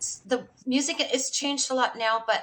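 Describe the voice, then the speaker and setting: Delivered at a moderate pace, an unremarkable speaking voice carries ordinary pitch variation. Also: woman. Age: 60s. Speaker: music industry veteran. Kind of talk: casual chat.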